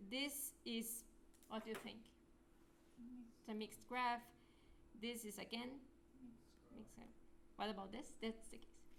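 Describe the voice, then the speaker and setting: A woman with a fairly high voice speaks with long, frequent pauses. Audible room echo surrounds her. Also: ordinary pitch variation, moderate pace. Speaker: lecturer. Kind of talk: lecture.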